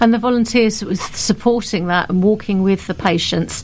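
A woman with a medium pitch speaks in a normal speaking voice, her intonation fairly even. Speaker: volunteer coordinator. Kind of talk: interview chat.

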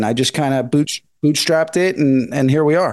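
A man talks in a normal speaking voice at a fairly high pitch and a moderate pace. The background is quiet. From Northern California. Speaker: independent filmmaker. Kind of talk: interview.

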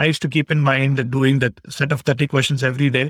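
A man with an Indian accent speaks at a fairly quick pace, his fairly high voice sounding dry and close with no echo. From India, Bangalore. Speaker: CPA exam candidate. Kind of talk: interview. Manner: halting.

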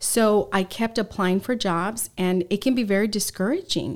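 In a very clean recording with a silent background, a woman with an American accent speaks at a moderate pace and medium pitch, with fairly even intonation. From Southern California. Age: 40s. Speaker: former TV news reporter. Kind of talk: interview.

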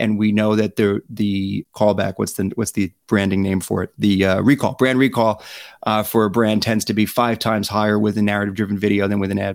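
Recorded very cleanly against a silent background with a dry, close sound and no echo, a man with an unremarkable speaking voice talks at a fairly quick pace and a fairly low pitch. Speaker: branded storytelling founder, filmmaker. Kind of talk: interview, casual conversation.

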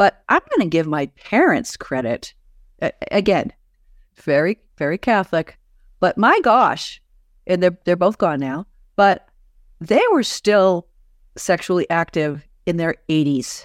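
On a very clean recording with a silent background and a dry, close sound with no echo, a woman with an American accent speaks at a fairly slow pace and medium pitch, using lively intonation, an animated tone and long, frequent pauses. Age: 60s. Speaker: author and podcaster. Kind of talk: interview conversation. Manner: animated, laughs often, direct.

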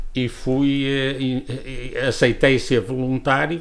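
The speaker is a man with a medium-pitched voice. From northern Portugal, Viana do Castelo area. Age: 70s. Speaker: former politician and school director. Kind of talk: interview testimony. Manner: halting, many repetitions.

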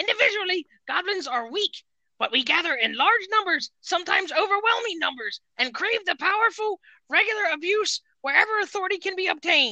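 This is a put-on character voice at an extremely high pitch. It moves at a fairly quick pace. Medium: game stream.

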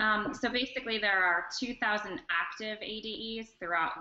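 Speaking at a fairly slow pace, a woman with an American accent has a bright, sharp tone and ordinary pitch variation. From North Carolina, Charlotte. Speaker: educational technology specialist. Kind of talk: online interview and screen-share demo.

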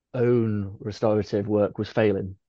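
Here a man speaks at a medium pitch. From northwest England. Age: 20s. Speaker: dentist. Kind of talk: interview. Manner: hesitant, many fillers.

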